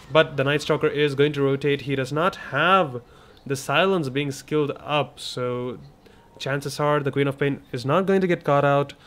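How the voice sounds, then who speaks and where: A man with a non-native accent talks at a moderate pace and a fairly high pitch. His intonation stays fairly even. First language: not English. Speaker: esports commentator. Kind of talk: live commentary.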